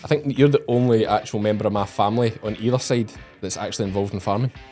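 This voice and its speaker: Music plays in the background as a man speaks at a very fast pace, medium in pitch, with fairly even intonation. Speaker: farmer. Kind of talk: casual podcast conversation.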